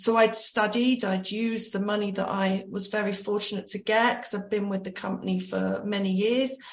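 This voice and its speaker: A woman talks at a moderate pace and medium pitch with monotone, flat intonation and hardly any pauses, over noticeable background noise. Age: 40s. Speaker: personal trainer. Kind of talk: casual chat.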